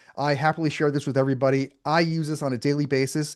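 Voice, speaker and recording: Recorded with a quiet background, a man speaks at a fairly high pitch in a dry, close sound with no echo. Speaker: AI consultant presenting to bankruptcy lawyers. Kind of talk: webinar presentation with live demo. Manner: fast; casual, filler-heavy.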